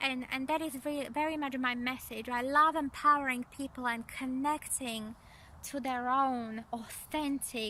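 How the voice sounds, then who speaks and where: A woman's raised, projected voice, high in pitch, with a non-native accent, fairly even intonation and a fairly slow pace. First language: not English. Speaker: energy psychology coach. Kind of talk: spiritual coaching talk to camera. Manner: halting, many fillers and repeats.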